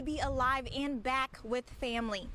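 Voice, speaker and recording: Over noticeable background noise, a woman speaks at a moderate pace with a high pitch and ordinary pitch variation. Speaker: TV news reporter. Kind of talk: TV news reporter package and live shot.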